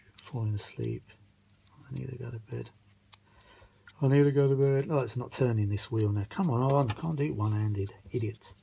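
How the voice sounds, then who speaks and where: Somewhat breathy speech in a dark, mellow tone, with a British accent and long, frequent pauses. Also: man, medium pitch for a man, ordinary pitch variation, moderate pace. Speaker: vintage audio repair hobbyist. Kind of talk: casual hands-on repair vlog. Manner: muttering to himself, halting.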